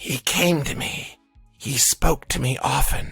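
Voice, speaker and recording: In a put-on character voice, the speaker talks quietly at a fairly slow pace with a raspy, low-to-middle pitch, as faint music plays in the background. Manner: quiet, weak.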